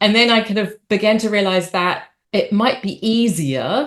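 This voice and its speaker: In a New Zealand accent, a woman of medium pitch speaks at a fairly slow pace. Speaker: opera singer and arts company leader. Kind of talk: interview talk. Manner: hesitant fillers.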